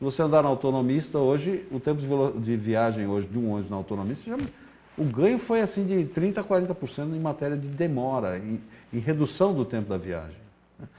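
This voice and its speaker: A man with a fairly high pitch, very wide pitch swings and a very fast pace. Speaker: public transport official. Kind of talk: interview.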